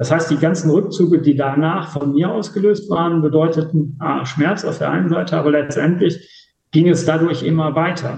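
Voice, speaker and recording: This man's voice is somewhat breathy and fairly high-pitched. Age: 50s. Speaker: interview guest. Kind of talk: personal testimony.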